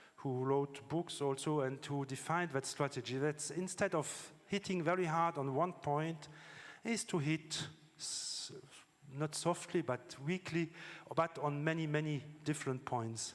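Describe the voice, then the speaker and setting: Fairly even intonation marks this man's fairly high voice as he speaks at a fairly slow pace. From France. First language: French. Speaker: scientist. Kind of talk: conference talk. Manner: halting, with fillers.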